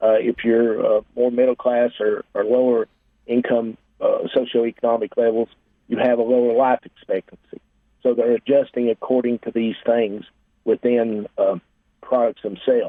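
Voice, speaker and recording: Monotone, flat intonation at a moderate pace. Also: man, medium pitch for a man. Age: 60s. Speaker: financial advisor. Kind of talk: radio interview. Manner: halting.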